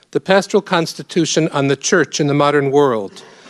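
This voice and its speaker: A man with an American accent and a plain, everyday voice speaks at a moderate pace with a fairly high pitch and ordinary pitch variation, the sound dry and close with no echo on a very clean recording with a silent background. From US Northeast, Rochester New York. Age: 50s. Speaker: priest. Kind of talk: lecture.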